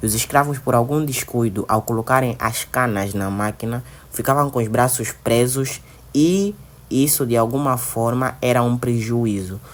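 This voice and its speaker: The speaker talks at a fairly slow pace in an Angolan accent, with ordinary pitch variation. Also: man, medium pitch for a man. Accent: Angolan Portuguese accent, noticeable. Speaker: student vlogger. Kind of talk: travel vlog narration and interview; interview. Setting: museum visit, on location.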